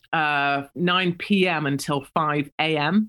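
Recorded very cleanly against a silent background, a woman with an English accent speaks in a very deep, low pitch with ordinary pitch variation. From England. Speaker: political commentator. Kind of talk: interview.

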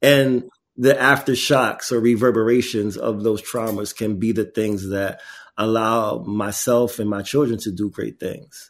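This is a normal speaking voice, a man at medium pitch with fairly even intonation. He goes at a fairly slow pace on a very clean recording with a silent background. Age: 40s. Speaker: artist and activist, foundation founder. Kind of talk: interview.

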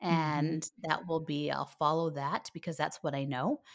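With a Canadian accent, a woman speaks at a moderate pace in a very deep, low voice and fairly even intonation. The sound is dry and close with no echo, on a very clean recording with a silent background. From Canada. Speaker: homeschooling podcaster and coach. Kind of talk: casual interview chat.

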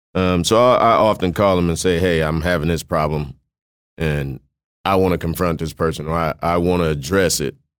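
The recording is very clean, with a silent background. A man talks at a moderate pace with fairly even intonation. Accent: American. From US South, Mississippi, then Iowa. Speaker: barber and business owner. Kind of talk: interview. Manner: halting, with repetitions.

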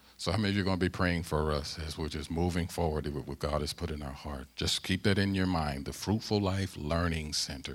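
With an American accent, a man speaks at a moderate pace in a very deep, low pitch with fairly even intonation. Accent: Southern-tinged Midwestern US. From US Midwest (St. Louis, Missouri). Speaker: pastor. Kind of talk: sermon. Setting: church.

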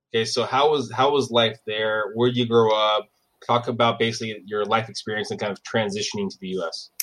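A man's plain, everyday voice at medium pitch, with a fairly quick pace and fairly even intonation. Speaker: podcast host. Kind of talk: interview.

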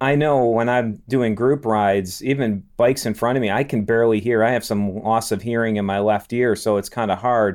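Against a quiet background, a plain, everyday voice moves at a fairly quick pace with hardly any pauses. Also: man, medium pitch for a man. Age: 50s. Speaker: podcast host and physical therapist. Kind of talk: podcast interview.

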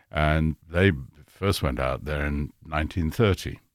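Very deep, low speech from a man, marked by vocal fry and ordinary pitch variation. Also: very clean recording, silent background. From Kenya. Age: 70s. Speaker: music industry executive. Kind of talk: casual chat. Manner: halting.

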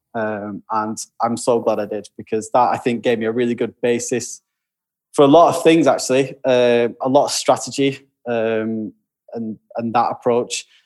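This man has a Lancashire accent. He talks at a moderate pace. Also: medium pitch for a man, fairly even intonation. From Lancashire, northern England. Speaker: creative director. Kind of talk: casual chat.

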